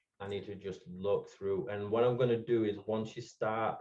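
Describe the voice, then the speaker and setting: With a Yorkshire accent, a man speaks at a moderate pace and a fairly low pitch. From England, Hemsworth (Yorkshire). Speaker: podcast guest, NFT collector. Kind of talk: casual chat.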